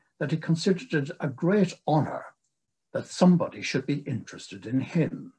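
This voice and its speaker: Over a quiet background, a man talks at a moderate pace with lively intonation and a somewhat breathy sound. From England. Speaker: retired psychiatric nurse and nursing historian. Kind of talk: lecture. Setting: video call. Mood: calm, solemn, reflective. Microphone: video call.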